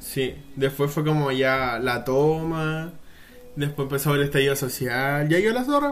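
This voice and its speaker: Room echo is audible as a man talks. His pitch is fairly high and his pace fairly slow. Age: young. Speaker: podcast co-host. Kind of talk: casual chat. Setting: outdoors.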